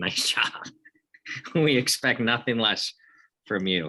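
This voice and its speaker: Speaking very slowly with a Midwestern accent, a man has a medium-pitched voice. His tone is bright and sharp. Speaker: podcast host. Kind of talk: casual chat.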